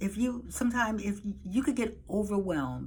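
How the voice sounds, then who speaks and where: Her intonation is lively. The woman's voice carries a slight breathiness. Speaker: dispatching service business owner. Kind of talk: casual talk to camera.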